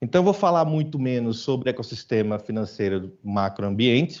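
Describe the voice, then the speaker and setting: With a northeastern Brazilian accent, a man talks at a moderate pace. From Brazilian Northeast, Aracaju (Sergipe). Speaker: business executive, conference speaker. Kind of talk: conference talk. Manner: informal, conversational.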